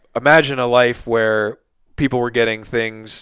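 On a very clean recording with a silent background, a man with an American accent uses a normal speaking voice at a medium pitch and a moderate pace. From Philadelphia / South Jersey. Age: 30s. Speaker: podcast host and outdoor gear writer. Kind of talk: casual interview chat.

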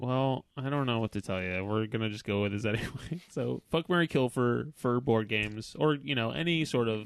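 An unremarkable speaking voice, a man at medium pitch with lively intonation, moderate pace and hardly any pauses, in a dry, close sound with no echo. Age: 30s. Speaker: podcast host. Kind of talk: casual chat.

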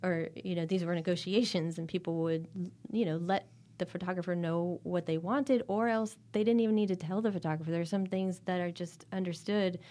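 An ordinary speaking voice: a woman with a fairly low pitch talks at a fairly quick pace with fairly even intonation, on a very clean recording with a silent background. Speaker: art historian. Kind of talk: interview conversation.

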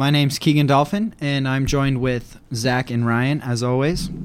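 A man's ordinary speaking voice, fairly high in pitch, at a moderate pace. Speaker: podcast host. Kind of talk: casual chat.

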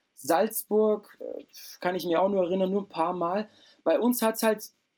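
His tone is dark and mellow. The man talks at a moderate pace. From East Germany, then southern Germany near Lake Constance. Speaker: breakdancer and dance school owner. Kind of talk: casual interview.

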